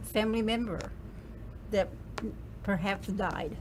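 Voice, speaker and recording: A woman's fairly high-pitched voice at a moderate pace, over noticeable background noise. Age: 80s+. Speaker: interview guest. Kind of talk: interview. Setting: studio.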